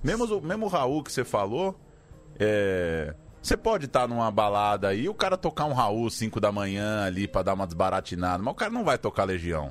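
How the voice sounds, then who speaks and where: Over music in the background, a man talks at a fairly quick pace with fairly low pitch and lively intonation. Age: 30s. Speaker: podcast producer. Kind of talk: casual chat.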